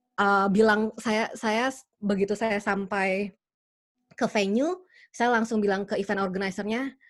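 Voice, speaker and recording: At a fairly slow pace and medium pitch, a woman speaks with fairly even intonation over a quiet background. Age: young. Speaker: interpreter. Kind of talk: webinar Q&A. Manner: halting.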